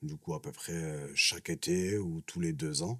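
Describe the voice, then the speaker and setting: Lively intonation marks this man's speech. His pitch is very deep and low, and his pace is fairly slow. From southern France, Nîmes. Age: 30s. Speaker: social worker. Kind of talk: interview. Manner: hesitant, many fillers.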